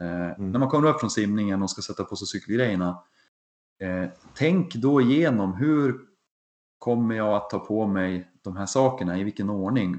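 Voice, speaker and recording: A man's fairly low voice, a normal speaking voice, at a moderate pace with ordinary pitch variation. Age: 40s. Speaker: triathlon podcast co-host, amateur triathlete. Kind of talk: casual chat.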